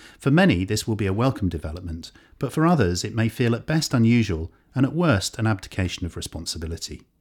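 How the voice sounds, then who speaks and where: A man speaks at a very fast pace with lively intonation and a somewhat breathy voice. The recording is very clean, with a silent background. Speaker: podcast presenter. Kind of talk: scripted narration. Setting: studio.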